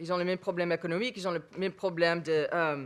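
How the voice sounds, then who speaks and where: This is a woman with a fairly low pitch. The recording is very clean, with a silent background. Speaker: researcher on interfaith relations. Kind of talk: panel discussion. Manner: halting.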